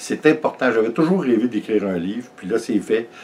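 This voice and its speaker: Lively intonation runs through this voice with a Quebec accent. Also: man. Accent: Québécois French. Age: 60s. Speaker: vlogger. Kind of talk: casual vlog talk. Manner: halting, many fillers.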